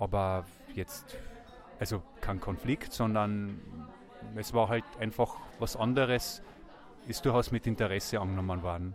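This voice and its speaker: This man has a fairly low pitch and speaks at a moderate pace. His intonation is fairly even. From Austria, Carinthia. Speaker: vox pop interviewee. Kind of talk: street interview.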